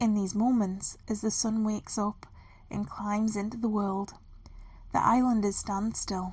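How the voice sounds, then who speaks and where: This woman has a medium pitch and a gentle, somewhat breathy tone. She talks at a fairly slow pace. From North East England. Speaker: storyteller. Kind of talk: bedtime fairy story reading. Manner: slow, gentle.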